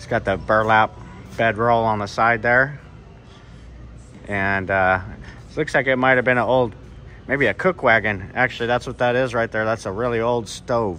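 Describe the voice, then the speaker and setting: A man speaks at a moderate pace, with long, frequent pauses and fairly even intonation. His tone is bright and sharp, and there is light background noise. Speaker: travel vlogger. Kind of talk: casual vlog chat. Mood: relaxed, admiring. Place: shop. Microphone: phone near.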